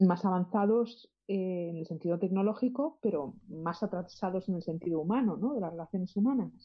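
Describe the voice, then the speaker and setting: Speaking at a moderate pace with hardly any pauses, a woman's somewhat breathy voice stays at a medium pitch. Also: ordinary pitch variation. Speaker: caller and singer. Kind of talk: casual chat. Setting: phone call.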